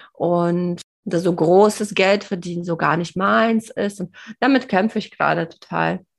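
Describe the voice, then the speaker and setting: A woman with a plain, everyday voice talks fairly slowly at a fairly low pitch against a quiet background. Her pitch varies in an ordinary way. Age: 30s. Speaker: podcast co-host, fasting coach. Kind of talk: casual chat.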